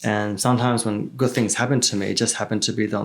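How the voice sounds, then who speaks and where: A man with an Australian accent speaks in a fairly low pitch with flat, monotone intonation, and the recording is very clean with a silent background. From Melbourne, Australia (moved from China at six or seven). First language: Chinese. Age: 30s. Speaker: real estate entrepreneur. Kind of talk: casual podcast interview. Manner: casual, many filler words and repetitions.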